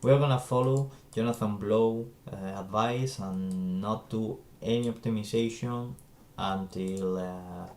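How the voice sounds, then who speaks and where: This man's medium pitch shows ordinary pitch variation as he talks at a fairly slow pace. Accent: non-native. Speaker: game developer streamer. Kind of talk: live coding stream. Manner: hesitant, many fillers.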